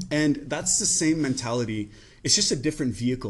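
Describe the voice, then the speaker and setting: A man at a very fast pace over a quiet background. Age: 30s. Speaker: podcast host. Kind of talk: casual chat. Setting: in a clothing store.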